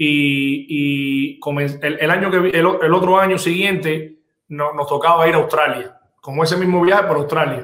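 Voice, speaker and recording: This man's voice sits fairly high. He keeps a moderate pace and fairly even intonation. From Cuba. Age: 40s. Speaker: insurance business owner. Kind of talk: interview. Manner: halting, many repetitions.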